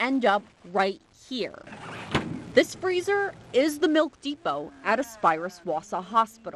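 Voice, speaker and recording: With noticeable background noise behind her, a woman speaks fairly slowly in a high pitch, her pitch swinging very widely. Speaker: TV news reporter. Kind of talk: TV news package narration.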